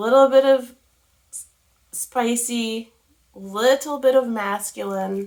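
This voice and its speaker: At a very slow pace, a woman with a fairly high pitch speaks with fairly even intonation and long, frequent pauses. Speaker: soap maker. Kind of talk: tutorial. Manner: casual, chatty.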